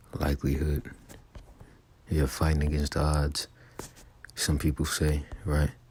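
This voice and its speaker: Very deep and low in pitch, a man speaks quietly and fairly slowly in a monotone, flat intonation with long, frequent pauses. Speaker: religious teacher. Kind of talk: religious lesson. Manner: quiet, low volume; halting.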